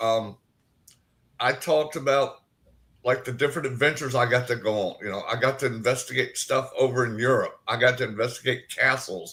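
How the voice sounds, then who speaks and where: Speaking with an American accent at a medium pitch, a man has a bright, sharp tone, fairly even intonation and a fairly quick pace, on a very clean recording with a silent background. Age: 60s. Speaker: paranormal investigator and cancer survivor. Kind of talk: interview.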